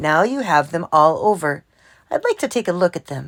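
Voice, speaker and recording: A woman performs a put-on character voice that is raspy and fairly low-pitched, with lively intonation at a moderate pace, on a very clean recording with a silent background. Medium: read story. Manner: stern, formal.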